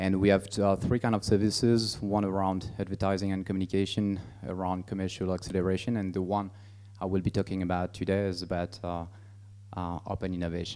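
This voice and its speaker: Very deep and low, a man's dark, mellow voice comes in a French accent. He moves at a fairly quick pace with monotone, flat intonation. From France. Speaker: business executive. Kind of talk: presentation. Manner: halting, many fillers.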